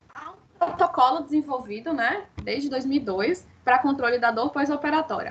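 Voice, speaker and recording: Talking at a fairly slow pace with hardly any pauses, a woman with a high pitch shows big swings in loudness. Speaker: dentistry lecturer. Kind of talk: online lecture.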